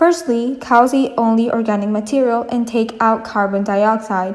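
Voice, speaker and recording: Using a non-native accent, a woman speaks at a fairly slow pace and a fairly high pitch with fairly even intonation. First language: not English. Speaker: environmental YouTuber. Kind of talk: educational explainer.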